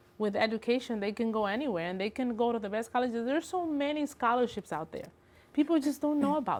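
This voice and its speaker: A woman's high voice, very fast and lively in intonation, in a Spanish accent. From Dominican Republic. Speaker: construction estimating engineer. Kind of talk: tv interview.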